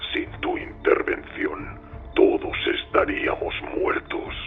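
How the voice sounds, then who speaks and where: Using a put-on character voice, a man talks at a very slow pace while music plays clearly in the background. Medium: read story. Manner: terse, clipped.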